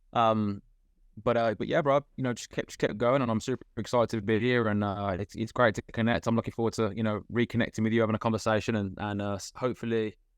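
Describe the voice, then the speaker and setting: Against a quiet background, a man talks very fast in a flat monotone, with a dry, close sound and no echo. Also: medium pitch for a man. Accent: British. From UK. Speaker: guest, former factory worker turned self-improvement coach. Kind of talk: podcast interview. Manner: halting, many fillers. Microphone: connection breaking up.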